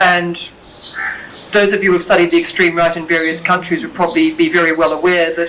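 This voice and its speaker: Over noticeable background noise and audible room echo, a woman talks at a very fast pace in a fairly low pitch with fairly even intonation. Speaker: academic lecturer. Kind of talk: lecture.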